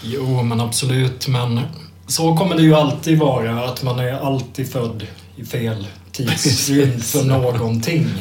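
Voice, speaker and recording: The speech moves at a very slow pace with fairly even intonation, while noticeable background noise and audible room echo fill the recording. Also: man, medium pitch for a man. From Sweden, Kalmar. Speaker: music journalist. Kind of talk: casual chat.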